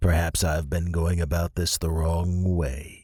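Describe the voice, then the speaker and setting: In a put-on character voice, a man speaks at a fairly slow pace with a very deep, low pitch and flat, monotone intonation, on a very clean recording with a silent background. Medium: read story. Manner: cold, commanding.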